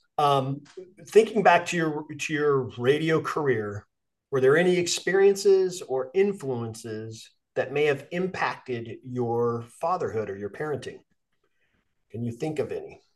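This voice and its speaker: Speaking at a fairly slow pace, a man with a normal speaking voice uses lively intonation at a fairly high pitch. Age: 50s. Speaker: podcast host, coach and Marine veteran. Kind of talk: casual interview chat. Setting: video call.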